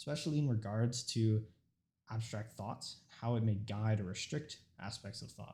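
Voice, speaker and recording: At a fairly quick pace, a man speaks with a dark, mellow tone that is somewhat breathy, at a medium pitch with ordinary pitch variation. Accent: Pakistani. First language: Urdu. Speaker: student. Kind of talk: informative speech. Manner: halting.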